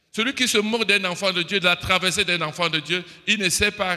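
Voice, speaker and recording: A man speaks at a moderate pace in a raised, projected voice. His pitch is high and his tone bright and sharp. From Cameroon. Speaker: preacher. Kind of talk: sermon. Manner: animated.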